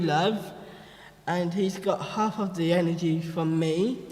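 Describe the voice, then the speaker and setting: A man's fairly slow, fairly evenly intoned speech with audible room echo. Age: 20s. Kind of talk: panel talk presenting photo slideshow.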